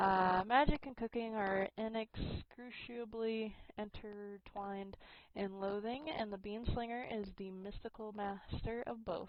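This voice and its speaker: Speaking at a fairly slow pace, a woman with an American accent keeps her intonation fairly even. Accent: slight southern US when reading aloud. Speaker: gaming streamer. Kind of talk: live gameplay commentary; reading game text aloud.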